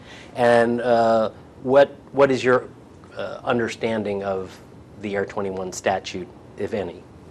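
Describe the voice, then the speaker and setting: Medium-pitched male speech with an American accent, fairly slow and fairly even in intonation, with big swings in loudness, long, frequent pauses and noticeable background noise. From New York. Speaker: attorney. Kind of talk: deposition questioning. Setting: deposition room.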